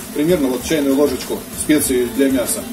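Lively intonation from a man, with music in the background. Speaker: home cook vlogger. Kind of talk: tutorial. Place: kitchen. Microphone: phone near.

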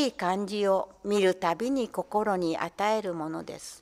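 Very slowly, a woman talks with a quiet background behind her. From Tokyo (Toshima); Tokyo. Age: 80s+. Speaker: poet; reader on community radio. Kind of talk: reading aloud. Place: studio. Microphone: studio mic.

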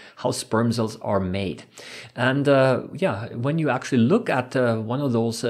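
A man's somewhat breathy voice comes through against a quiet background. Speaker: science educator. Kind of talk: lecture.

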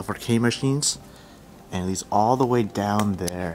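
A man speaks at a moderate pace, his pitch fairly low. Light background noise sits behind him. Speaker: urban explorer vlogger. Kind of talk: casual vlog chat. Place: factory. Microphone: phone near.

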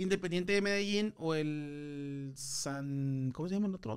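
Against a quiet background, a man talks in an animated tone. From Monterrey, northern Mexico; Mexico. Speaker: comedian. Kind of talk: casual chat. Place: studio. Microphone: studio mic.

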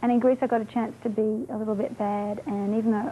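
A woman's somewhat breathy voice with a dark, mellow tone at a very fast pace, over light background noise. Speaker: interviewee. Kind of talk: interview answer. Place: home room.

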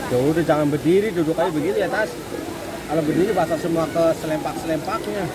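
Over loud background noise, a very fast voice with ordinary pitch variation comes through dry, with no echo. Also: man. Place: waterside. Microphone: phone near.

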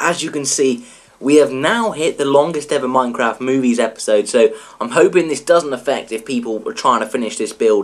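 Here a man talks with an English accent. His pace is fairly quick. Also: medium pitch for a man, ordinary pitch variation. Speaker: gaming YouTuber. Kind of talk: let's play tutorial commentary. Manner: casual, chatty.

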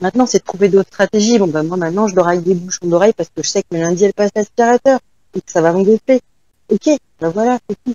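Very fast woman's speech at medium pitch with ordinary pitch variation. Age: 40s. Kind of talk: testimony.

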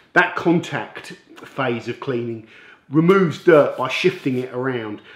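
A man at a moderate pace, ordinary pitch variation, audible room echo around him. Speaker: car detailing channel host. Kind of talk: product review intro. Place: workshop.

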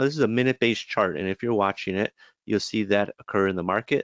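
With an ordinary speaking voice, a man talks at a moderate pace and a fairly low pitch with ordinary pitch variation, in a dry, close sound with no echo and a quiet background. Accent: American. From US Midwest, Chicago. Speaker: trading educator. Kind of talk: webinar presentation. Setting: online webinar. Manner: casual, many filler words.

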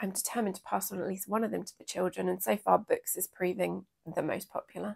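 A woman with an English accent at a very fast pace, over a quiet background. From England. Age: 40s. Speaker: sewing vlogger. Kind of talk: casual chat. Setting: craft room. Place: home room. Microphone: lapel.

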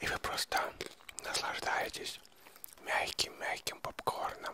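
A soft-spoken whisper at a very slow pace, dry with no echo, under loud background noise. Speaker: ASMR creator. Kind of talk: soft-spoken ASMR talk to viewers. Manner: soft close-mic ASMR whisper. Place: home room. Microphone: handheld.

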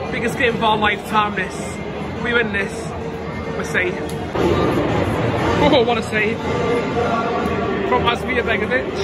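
Very slow speech broken by long, frequent pauses. Loud music plays in the background. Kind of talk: casual vlog chat. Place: stadium. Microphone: phone near.

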